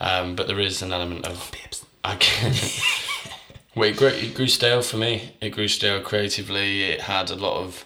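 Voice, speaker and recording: A man with a fairly low pitch talks at a fairly quick pace and fairly even intonation, with noticeable background noise and audible room echo. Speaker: actor and musician. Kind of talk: casual chat.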